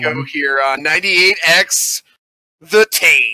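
The voice is a put-on character voice with ordinary pitch variation, delivered at a very slow pace. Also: man, high pitch for a man.

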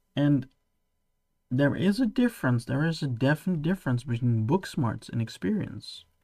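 In a Dutch accent, a man speaks with a fairly high pitch, very wide pitch swings, and a somewhat breathy voice of dark, mellow tone. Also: moderate pace. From Netherlands. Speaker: podcast host. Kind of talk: solo podcast monologue. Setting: home studio, late at night. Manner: halting.

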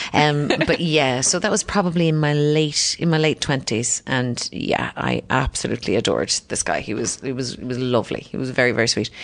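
Speaking with a Cork accent, a woman with a very deep, low pitch moves at a fairly quick pace with ordinary pitch variation and hardly any pauses. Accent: Irish (Cork). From Ireland (Cork). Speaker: comedian and author. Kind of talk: casual interview conversation. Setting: hotel hallway. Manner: animated, laughs often.

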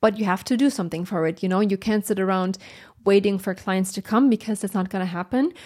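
Words come at a very fast pace in a German accent. The pitch variation is ordinary. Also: woman, medium pitch for a woman. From Germany. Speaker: brand designer and podcast host. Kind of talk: solo Q&A podcast monologue. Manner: animated.

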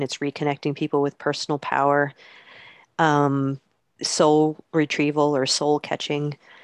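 Her voice very deep and low, a woman speaks at a fairly slow pace with a dry, close sound and no echo. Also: very clean recording, silent background. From US Northeast, Hudson Valley, upstate New York. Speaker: mental health counselor and shamanic healer. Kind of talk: interview.

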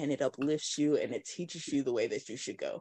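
The sound is dry and close, with no echo. A woman talks over a quiet background. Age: 30s. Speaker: podcast host. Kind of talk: casual chat. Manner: animated.

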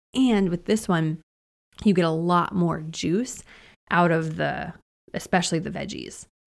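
A woman with a plain, everyday voice talks at a moderate pace with ordinary pitch variation and a fairly low pitch. The recording is very clean with a silent background. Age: 40s. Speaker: podcast host. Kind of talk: casual monologue. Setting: home studio. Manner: casual, with many fillers.

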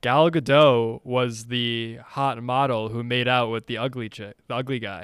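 Using an unremarkable speaking voice, a man with an American accent speaks at a medium pitch and a fairly slow pace, with fairly even intonation and hardly any pauses. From Connecticut. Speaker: movie podcast co-host. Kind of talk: casual chat.

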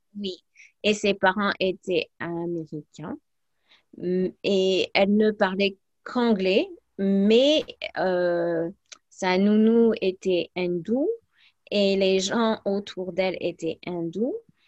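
A woman with an English accent speaks at a very slow pace, leaving long, frequent pauses. Her pitch varies in an ordinary way, and the sound is dry and close with no echo. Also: medium pitch for a woman. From US, then Provence from age 11. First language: English (speaking French). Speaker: language teacher. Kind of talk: casual interview.

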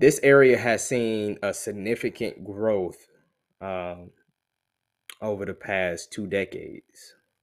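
A man with a South Carolina accent speaks at a very slow pace in a fairly low pitch, with ordinary pitch variation. There are long, frequent pauses, and the recording is very clean with a silent background. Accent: US Southern (South Carolina). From Columbia, South Carolina. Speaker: realtor and army veteran. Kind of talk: promotional monologue. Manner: casual, with many fillers.

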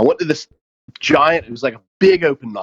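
A man with a Southern US accent at a fairly quick pace, in a dry, close sound with no echo. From US South, Mobile, Alabama. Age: 40s. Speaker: chef and restaurant owner. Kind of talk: casual interview chat.

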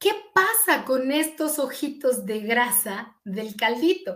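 Speaking at a very slow pace, a woman with a central Mexican accent has a high pitch. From Mexico, eastern State of Mexico. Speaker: physician. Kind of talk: interview. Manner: hesitant fillers.

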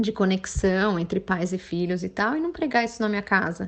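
A woman with an unremarkable speaking voice, ordinary pitch variation and a moderate pace. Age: 30s. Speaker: pediatrician. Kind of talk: recorded talk to medical students. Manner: casual, warm.

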